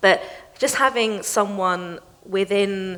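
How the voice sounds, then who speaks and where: A woman with a British accent speaks at a medium pitch with fairly even intonation, and noticeable background noise can be heard. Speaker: financial crime specialist. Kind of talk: panel discussion.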